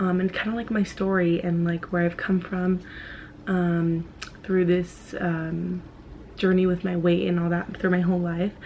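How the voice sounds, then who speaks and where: Soft-spoken and monotone, with flat intonation, the voice moves at a fairly slow pace over noticeable background noise. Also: woman, fairly low pitch for a woman. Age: 20s. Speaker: vlogger. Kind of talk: personal vlog. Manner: soft-spoken, quiet; hesitant, many fillers.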